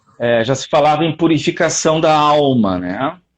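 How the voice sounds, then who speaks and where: A man speaks very slowly in a fairly high pitch. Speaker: lecturer on philosophy. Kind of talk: online lecture. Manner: animated, many fillers.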